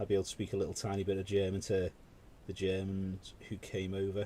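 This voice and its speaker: A man with a very deep, low pitch, a dark, mellow tone and a somewhat breathy sound. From UK. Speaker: miniature painting live streamer. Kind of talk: casual chat while painting on a live stream. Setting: live stream.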